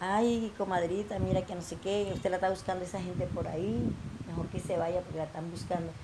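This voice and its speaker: Speaking fairly quickly, a woman uses a medium pitch with ordinary pitch variation. Noticeable background noise sits behind her. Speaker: coffee farmer and entrepreneur. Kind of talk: personal testimony.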